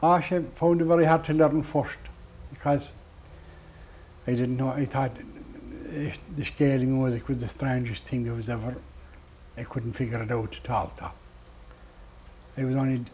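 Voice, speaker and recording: With a west of Ireland accent, a man of medium pitch speaks at a moderate pace with fairly even intonation and long, frequent pauses. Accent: west of Ireland (Clare) Irish. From Ireland, Doolin, County Clare. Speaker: traditional musician. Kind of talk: interview. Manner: halting.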